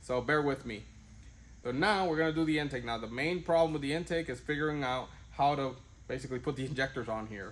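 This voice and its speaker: Lively intonation at a fairly quick pace. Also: man. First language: not English. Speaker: car tuning YouTuber. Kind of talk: tutorial. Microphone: wireless mic broken, different audio.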